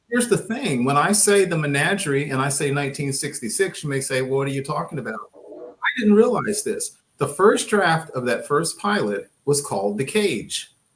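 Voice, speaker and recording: A man with a slight Texas accent speaks at a moderate pace in a fairly high, somewhat breathy voice that swings very widely in pitch. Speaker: podcast co-host. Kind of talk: casual panel discussion.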